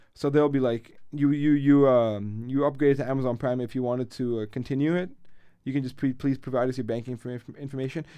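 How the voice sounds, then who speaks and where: Very fast pace from a man with a medium pitch, a dark, mellow tone and fairly even intonation. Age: 20s. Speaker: podcast co-host. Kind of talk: casual chat.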